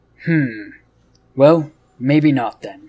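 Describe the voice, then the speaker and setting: A man puts on a character voice, fairly high in pitch. His pitch varies in an ordinary way. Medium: read story. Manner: intense, probing, cryptic.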